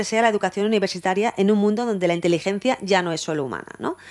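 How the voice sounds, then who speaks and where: At a very fast pace, a woman of medium pitch talks with ordinary pitch variation. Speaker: university law lecturer. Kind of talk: conference talk. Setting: university lecture hall with audience.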